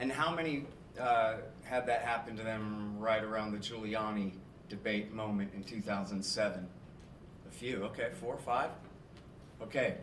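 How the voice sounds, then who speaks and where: A man with a fairly low voice speaks with long, frequent pauses, with audible room echo and noticeable background noise. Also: ordinary pitch variation, moderate pace. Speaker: radio host and author, guest speaker. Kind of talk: public talk. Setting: stage with audience. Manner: loud.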